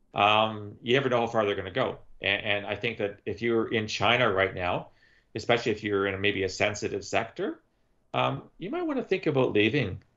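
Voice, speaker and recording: Against a quiet background, a man with a Canadian accent uses an ordinary speaking voice, fairly low in pitch with ordinary variation, at a fairly quick pace. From Canada. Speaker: former intelligence analyst and author; former intelligence analyst. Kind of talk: casual chat. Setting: video call. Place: home room. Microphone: video call.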